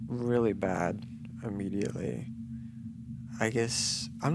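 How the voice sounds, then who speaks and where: A man whispers amid audible room echo, with music in the background. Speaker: gaming youtuber. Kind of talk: gameplay commentary. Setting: home recording at night. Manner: whispering; halting.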